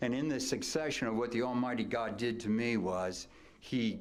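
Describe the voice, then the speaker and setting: A man with an American accent, medium in pitch with ordinary pitch variation, at a moderate pace amid audible room echo. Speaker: retired track coach. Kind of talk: acceptance speech. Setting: banquet hall with audience. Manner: loud; animated.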